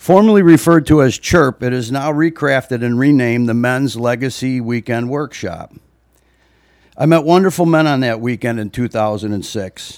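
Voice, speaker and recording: A man with an American accent speaks at a moderate pace and medium pitch. He has a normal speaking voice with ordinary pitch variation. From US Midwest (Libertyville, Illinois). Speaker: parishioner and father giving reflection. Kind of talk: church reflection speech. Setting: church during Mass. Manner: formal.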